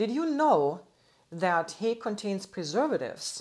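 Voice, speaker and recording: Her delivery is very slow. Behind the woman, things stay quiet. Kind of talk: lecture. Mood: friendly, informative. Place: office.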